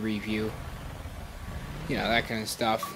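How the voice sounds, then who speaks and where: Mumbled speech with noticeable background noise. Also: man. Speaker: video game reviewer. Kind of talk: game review voiceover. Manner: mumbling; hesitant, many fillers.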